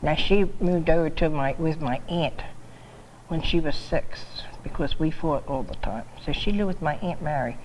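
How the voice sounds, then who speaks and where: A woman talks at a moderate pace with a very deep, low pitch and ordinary pitch variation. Audible room echo surrounds her voice. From New Jersey (Laurel Springs, Camden County). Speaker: longtime local resident. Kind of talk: oral history interview. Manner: halting.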